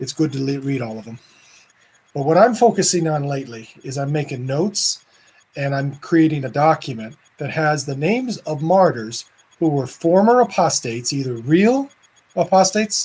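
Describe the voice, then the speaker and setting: A man's fairly high voice with lively intonation. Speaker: Orthodox priest. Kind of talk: casual video talk. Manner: fast; animated.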